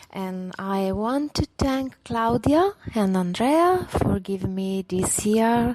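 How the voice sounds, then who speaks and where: A woman with an Italian accent speaks with ordinary pitch variation in a dry, close sound with no echo, over noticeable background noise. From Italy, Venice. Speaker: local event coordinator. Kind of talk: recorded thank-you message. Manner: halting.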